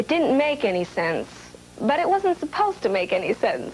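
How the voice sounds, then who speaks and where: Over light background noise, a woman speaks with very wide pitch swings. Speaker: entertainer. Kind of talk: TV segment presentation to camera.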